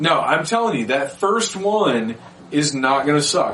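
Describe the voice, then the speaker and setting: A man's fairly high voice carries lively intonation as noticeable background noise runs underneath. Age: 40s. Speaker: podcast host. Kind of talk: casual chat.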